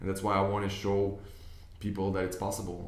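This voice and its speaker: Talking at a fairly quick pace with a non-native accent, a man with a fairly low pitch is heard with audible room echo. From Israel, Tel Aviv. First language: Hebrew. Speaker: business investor and online coach. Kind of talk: video monologue. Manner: hesitant, with fillers and repeats.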